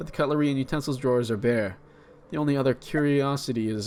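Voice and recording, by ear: Someone is reading aloud in a natural voice. The pitch moves in an ordinary way.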